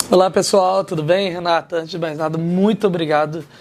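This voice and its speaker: Over noticeable background noise, a man with a Minas Gerais accent speaks at a moderate pace in a high pitch with fairly even intonation. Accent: mineiro. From Minas Gerais interior, Brazil. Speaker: martial arts teacher and former MMA fighter. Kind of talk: interview chat.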